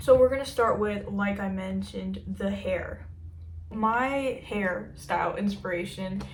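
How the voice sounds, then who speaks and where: Speaking at a fairly slow pace, a woman's voice carries audible room echo. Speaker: fashion YouTuber. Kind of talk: casual vlog talk to camera. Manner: casual, filler-heavy.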